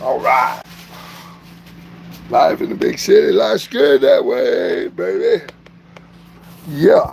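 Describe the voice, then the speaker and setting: With a Southern US accent, a man speaks at a very slow pace with long, frequent pauses over noticeable background noise. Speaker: vlogger doing a livestream. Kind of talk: casual livestream chat.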